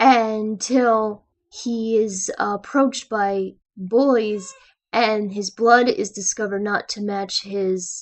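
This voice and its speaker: The speech unfolds at a very slow pace. Its intonation is fairly even. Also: woman, fairly high pitch for a woman. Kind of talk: casual book discussion to camera. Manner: hesitant, stuttering with fillers.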